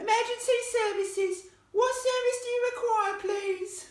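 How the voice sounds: A squeaky, put-on character voice at an extremely high pitch moves at a moderate pace, with a slight echo.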